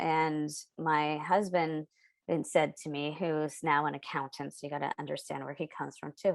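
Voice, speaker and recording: This woman's pitch is very deep and low, her pace moderate, in a very clean recording with a silent background. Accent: West Coast. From San Diego, California. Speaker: children's book author and illustrator. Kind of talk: podcast interview.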